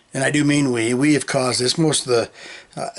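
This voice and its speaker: A man speaks over noticeable background noise. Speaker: political podcaster. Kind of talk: opinion monologue. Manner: halting.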